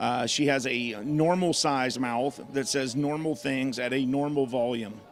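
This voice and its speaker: Noticeable background noise surrounds a man who speaks at a medium pitch and a fairly slow pace with fairly even intonation. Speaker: baseball play-by-play broadcaster. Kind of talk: live sports broadcast chat. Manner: loud; casual, joking.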